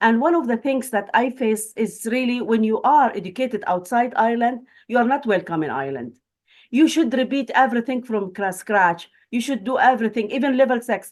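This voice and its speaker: In a Palestinian accent, the speaker talks at a fairly quick pace with ordinary pitch variation against a quiet background. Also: woman, fairly high pitch for a woman. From Palestine. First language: Arabic. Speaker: academic and refugee. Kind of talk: webinar panel talk. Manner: halting.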